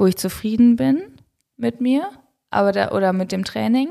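This woman's voice sits at a fairly high pitch. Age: 30s. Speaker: professional triathlete and doctor. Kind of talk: casual interview chat. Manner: hesitant, many filler sounds.

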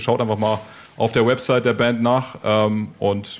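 A man talks in a normal speaking voice at a medium pitch, keeping a moderate pace and fairly even intonation. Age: 20s. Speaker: radio host. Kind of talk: radio interview.

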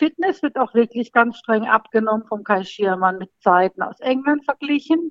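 A woman's fairly high voice moves with lively intonation. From Baden-Baden, southwest Germany. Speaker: amateur jockey examiner. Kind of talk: casual interview. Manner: hesitant, many fillers.

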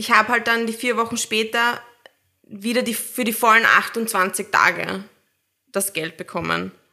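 A woman with a fairly high pitch talks at a fairly slow pace with fairly even intonation and long, frequent pauses. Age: 30s. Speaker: new mother, office worker. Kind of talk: casual chat.

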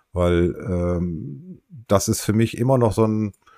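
The tone is dark and mellow. Intonation rises and falls in a lively way. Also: man, very clean recording, silent background. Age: 50s. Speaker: podcast co-host. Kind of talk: casual chat. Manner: halting.

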